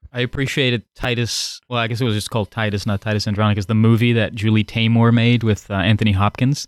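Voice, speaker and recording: A man's medium-pitched, monotone, flat voice at a very fast pace with hardly any pauses. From Netherlands. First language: Dutch. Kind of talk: roundtable chat.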